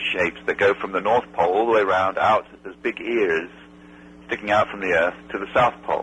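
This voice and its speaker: A man's fairly low voice with an English accent, moderate pace, and noticeable background noise. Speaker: astronaut. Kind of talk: interview answer.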